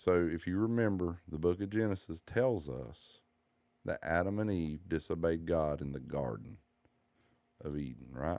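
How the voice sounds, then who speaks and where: Speaking at a moderate pace in a Southern US accent, a man with a very deep, low pitch and a dark, mellow tone uses lively intonation, recorded very cleanly against a silent background. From US South. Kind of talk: religious monologue.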